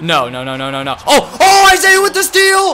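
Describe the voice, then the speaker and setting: A man's animated voice comes through noticeable background noise, delivered at a moderate pace. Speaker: gaming YouTuber. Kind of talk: gameplay commentary. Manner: excitable, animated.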